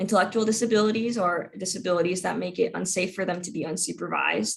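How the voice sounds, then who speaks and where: Speaking at a very fast pace, a woman uses a medium pitch with ordinary pitch variation and vocal fry. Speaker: legal advocate giving a workshop. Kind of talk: informational presentation.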